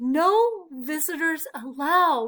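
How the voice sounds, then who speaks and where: A woman puts on a high-pitched character voice. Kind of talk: bedtime story. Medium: read story.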